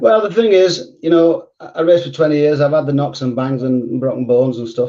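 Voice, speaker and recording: In a northern English accent, a man speaks at a very fast pace. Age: 70s. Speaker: retired speedway rider and riding coach. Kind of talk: casual interview.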